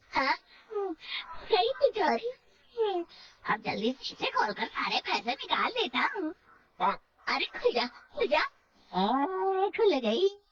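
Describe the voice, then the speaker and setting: Putting on a cartoonish character voice, a woman speaks very slowly at an extremely high pitch with very wide pitch swings. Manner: gloating, mischievous.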